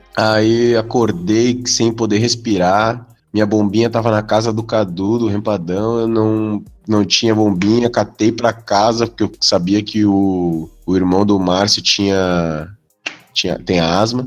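A man's fairly low voice at a fairly slow pace, with fairly even intonation, very even loudness and a quiet background. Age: 20s. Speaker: cartoonist. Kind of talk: casual chat. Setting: online call.

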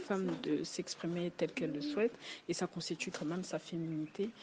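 Her voice is an ordinary speaking voice: a woman with fairly low pitch, ordinary pitch variation, and a moderate pace. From Congo. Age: 20s. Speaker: student. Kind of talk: casual chat.

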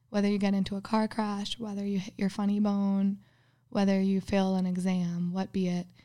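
A woman at a medium pitch with a slight Minnesotan accent, dark, mellow tone, monotone, flat intonation and moderate pace, in a very clean recording with a silent background. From US Midwest, Minnesota. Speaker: guest. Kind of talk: casual chat.

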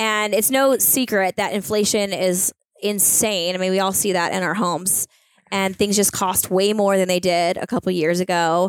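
A woman speaks in a normal speaking voice at a moderate pace with fairly even intonation. The recording is very clean and silent in the background, with a dry, close sound and no echo. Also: medium pitch for a woman. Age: 30s. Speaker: business owner. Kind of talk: casual chat.

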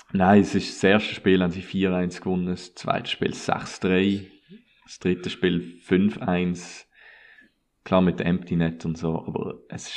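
A man with a very deep, low pitch, flat and monotone, at a fairly slow pace. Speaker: sports podcast host. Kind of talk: casual chat.

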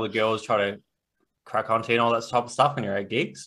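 A bright, sharp voice in an Australian accent at a fairly quick pace, on a very clean recording with a silent background. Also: man. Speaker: podcast host and author. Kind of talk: casual interview.

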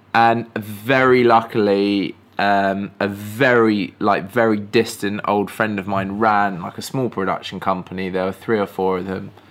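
A man talks with an English accent. His intonation is flat and monotone. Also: fairly low pitch for a man, fairly slow pace, hardly any pauses. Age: 30s. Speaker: filmmaker. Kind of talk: casual chat. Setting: live stream conversation. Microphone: poor audio quality in early episode.

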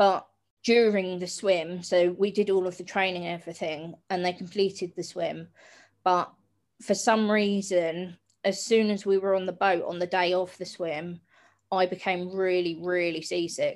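A woman's flat, monotone voice at medium pitch, in a southern English accent, at a moderate pace, on a very clean recording with a silent background. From south coast of England (Hastings). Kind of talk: interview conversation.

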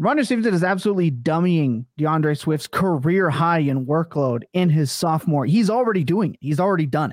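The speaker has an animated tone and lively intonation, going at a fairly quick pace with hardly any pauses. The recording is very clean with a silent background. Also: man, fairly high pitch for a man. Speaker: podcast host. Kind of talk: casual podcast discussion. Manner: animated, excitable.

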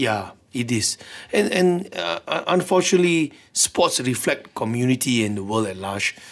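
This man talks at a moderate pace with a Malaysian accent. His medium-pitched voice moves in very wide pitch swings. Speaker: sports lawyer. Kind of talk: radio interview. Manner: hesitant, many fillers.

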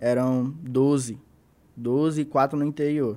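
A man speaks in a fairly high pitch with fairly even intonation. The recording is very clean with a silent background. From Brazil, Manaus (Amazonas). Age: 20s. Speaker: battle rapper. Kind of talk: casual chat.

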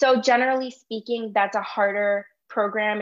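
In an American accent, a woman with a fairly high pitch talks with fairly even intonation in an ordinary speaking voice. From Chicago, Illinois. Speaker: medical student. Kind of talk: interview.

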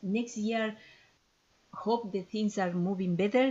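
Somewhat breathy, a woman speaks at a moderate pace with a Spanish accent and ordinary pitch variation. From Ecuador. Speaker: ethnopharmacologist and traditional healer. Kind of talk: interview. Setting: podcast interview.

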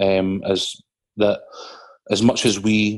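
A man talks with a Scottish accent. His fairly low voice stays monotone and flat. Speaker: podcast co-host. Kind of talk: casual chat.

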